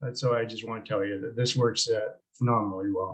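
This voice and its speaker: A man with a Canadian accent speaks at a medium pitch in a somewhat breathy voice. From Canada. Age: 70s. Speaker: product promoter. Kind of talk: product testimony. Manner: hesitant, many fillers.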